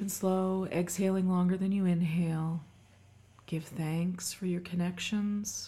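A woman speaks at a fairly slow pace in a medium-pitched, somewhat breathy voice, her tone gentle, calm, dark and mellow, her intonation flat and monotone. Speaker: wellness doctor and podcast host. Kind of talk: guided meditation. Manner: slow, calm, soothing; gentle, unhurried instructions with pauses.

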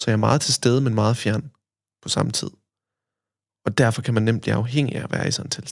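A man talks very fast at a medium pitch, with vocal fry and fairly even intonation. He leaves long, frequent pauses, and the sound is dry and close with no echo. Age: 20s. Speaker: guest, assault survivor and trauma practitioner. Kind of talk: casual podcast interview, personal storytelling.

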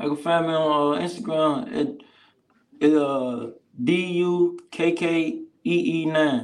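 Pitched fairly high with ordinary variation, a man speaks at a very slow pace in a Southern US accent. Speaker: college football player. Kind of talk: casual interview.

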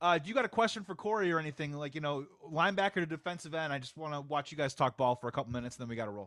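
A man speaks at a very fast clip with hardly any pauses, his fairly high voice moving with lively intonation against a quiet background. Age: 40s. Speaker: podcast host. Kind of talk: casual sports chat.

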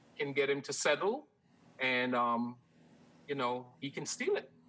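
There is noticeable background noise as a man speaks. His fairly high pitch moves at a fairly slow pace. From New York, born in Jamaica. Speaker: handicapper. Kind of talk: race analysis.

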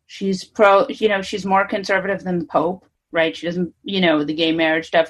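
A woman speaks with ordinary pitch variation. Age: 40s. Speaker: author and political pundit. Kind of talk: casual chat. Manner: halting.

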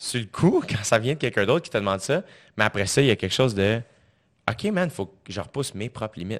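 A man with a medium pitch talks at a fairly quick pace with lively intonation. He takes long, frequent pauses against a quiet background. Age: 20s. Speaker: comedian and podcast host. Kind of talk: casual interview chat. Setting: studio.

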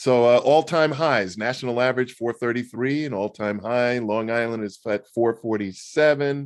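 This man talks at a moderate pace with a medium pitch and ordinary pitch variation. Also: hardly any pauses. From New York City (Queens). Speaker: motoring organization spokesman. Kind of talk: interview.

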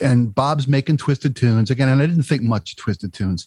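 A man with an American accent talks at a fairly quick pace in a medium pitch, his dark, mellow tone somewhat breathy in a dry, close sound with no echo. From Baltimore, Maryland. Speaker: former rock radio producer. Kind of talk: casual chat.

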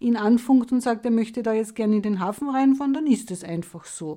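Against a quiet background, a woman speaks at a moderate pace with a dark, mellow tone. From Lower Austria. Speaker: sailor and journalist, co-host. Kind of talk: casual chat.

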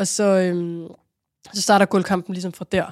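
In a very clean recording with a silent background, a woman speaks at a fairly low pitch with monotone, flat intonation. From Denmark, Rungsted (North Zealand). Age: 20s. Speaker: judo athlete. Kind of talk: casual interview.

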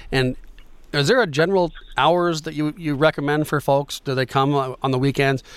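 A man with an Upper Midwest accent and fairly high pitch, moderate pace and fairly even intonation, in a very clean recording with a silent background. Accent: Upper Midwest American. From Michigan, Mount Pleasant. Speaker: radio co-host, tourism representative. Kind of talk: radio interview show.

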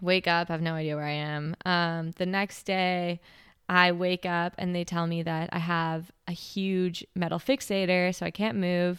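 On a very clean recording with a silent background, a woman speaks fairly slowly at a fairly low pitch in a monotone, flat intonation. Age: 20s. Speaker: ski racer podcast host. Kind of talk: casual monologue. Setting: hospital room. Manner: frequent laughter.

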